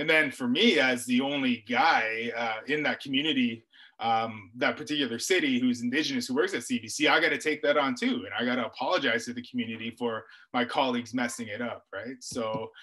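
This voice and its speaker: A man speaks at a fairly quick pace with a bright, sharp tone. His intonation stays fairly even, and the background is quiet. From Ontario, Canada (First Nation near Parry Sound). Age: 40s. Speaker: author and journalist. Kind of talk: webinar talk and interview. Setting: video call. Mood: calm, reflective storytelling. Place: home room. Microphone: webcam.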